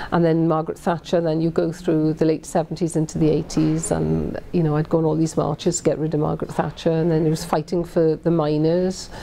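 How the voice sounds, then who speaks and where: A woman's very deep, low voice in a Welsh accent, monotone and flat, at very even loudness with hardly any pauses, over noticeable background noise. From Wales. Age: 50s. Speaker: politician. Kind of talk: interview answer. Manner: conversational with hesitations.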